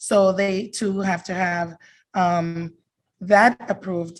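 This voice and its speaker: A woman's somewhat breathy, medium-pitched voice with monotone, flat intonation. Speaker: immigration attorney. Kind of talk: presentation at a community forum. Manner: fast.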